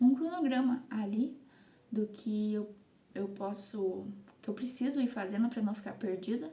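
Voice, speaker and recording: Amid noticeable background noise, a woman with a fairly high pitch speaks at a fairly slow pace with ordinary pitch variation and long, frequent pauses. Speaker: content creator / vlogger. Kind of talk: casual vlog monologue. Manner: halting.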